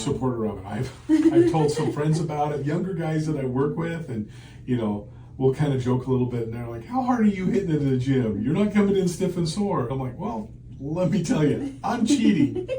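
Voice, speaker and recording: Amid noticeable background noise and audible room echo, a man with a fairly high pitch speaks at a fairly quick pace, his pitch swinging very widely. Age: 60s. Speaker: patient. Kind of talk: interview. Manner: casual, conversational.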